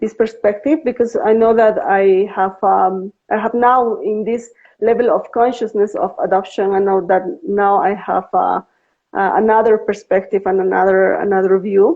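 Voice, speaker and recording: A woman at medium pitch and a moderate pace, with fairly even intonation. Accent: Spanish. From Bolivia. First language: Spanish. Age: 40s. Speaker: adoptee and podcaster. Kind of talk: live interview. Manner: halting, many fillers and repeats.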